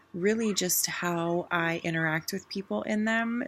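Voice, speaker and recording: A woman speaks quietly with ordinary pitch variation. Noticeable background noise can be heard. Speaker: direct sales team leader. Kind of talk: training talk. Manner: casual.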